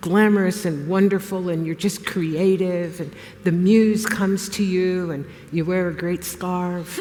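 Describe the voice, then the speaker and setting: A woman talks at a moderate pace with ordinary pitch variation. Noticeable background noise and audible room echo surround her voice. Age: 70s. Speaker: retired historian turned artist. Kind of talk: interview on stage.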